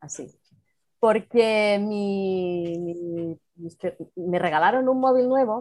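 Pitch shifts in an ordinary way in this woman's voice. She speaks very slowly. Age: 50s. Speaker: virtual assistant. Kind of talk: casual interview.

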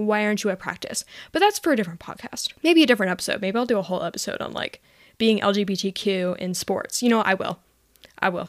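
A woman talks at a very fast pace. Her pitch varies in an ordinary way. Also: medium pitch for a woman. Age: young. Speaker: podcast host. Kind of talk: personal storytelling monologue. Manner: casual, frequent laughter and filler words.

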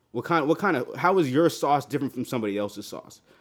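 A man's voice with vocal fry and very wide pitch swings, in a very clean recording with a silent background. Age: 20s. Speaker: music podcast co-host. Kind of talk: casual chat.

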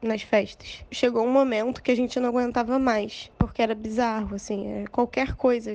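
A woman talks at a fairly quick pace in a high-pitched voice. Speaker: listener. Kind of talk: testimony.

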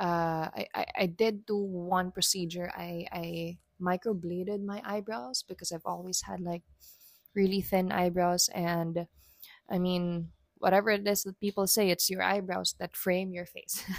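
A woman with a medium-pitched voice talks in a relaxed tone at a fairly slow pace, her intonation flat and monotone, in a dry, close sound with no echo. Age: 30s. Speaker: solo podcast host. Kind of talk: personal reflective monologue. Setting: alone at home at dining table. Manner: hesitant, many fillers.

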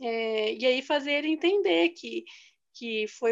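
At a very slow pace, a woman with a high pitch speaks against a quiet background. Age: 20s. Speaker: chemical engineering graduate. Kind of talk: interview.

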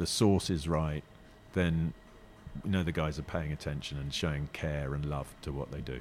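In a southern English accent, a man speaks at a moderate pace with a very deep, low pitch and fairly even intonation. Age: 50s. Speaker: restaurant owner. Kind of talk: casual interview. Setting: in a restaurant. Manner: halting.

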